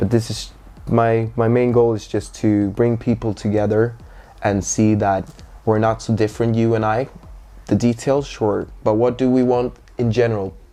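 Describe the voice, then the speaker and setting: Over music in the background, a man talks at a medium pitch and a moderate pace with monotone, flat intonation. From Sweden, Stockholm (born in Gothenburg, moved at six). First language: Swedish. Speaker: DJ and party organizer. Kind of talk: casual interview chat.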